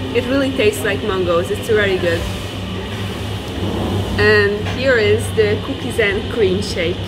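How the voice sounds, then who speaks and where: With music in the background, a woman speaks with long, frequent pauses. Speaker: travel vlogger. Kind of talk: casual vlog chat. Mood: cheerful and pleased. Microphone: phone near.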